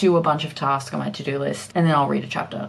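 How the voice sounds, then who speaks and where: The speaker uses an Australian accent with fairly even intonation. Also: woman. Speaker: book vlogger. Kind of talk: casual vlog. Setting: at home.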